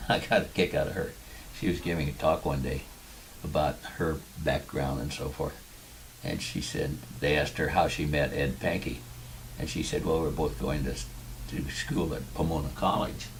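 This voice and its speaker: In a Californian accent, a man with a very deep, low pitch talks at a moderate pace with fairly even intonation and long, frequent pauses, amid audible room echo and noticeable background noise. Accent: Californian American. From US West Coast (Tustin, southern California). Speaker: war veteran. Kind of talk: interview.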